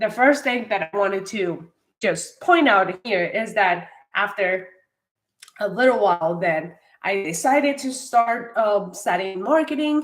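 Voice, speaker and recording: A very slow woman's voice with a Spanish accent. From Colombia, Bogota. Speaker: marketing coach. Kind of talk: livestream talk to viewers. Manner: hesitant with frequent fillers.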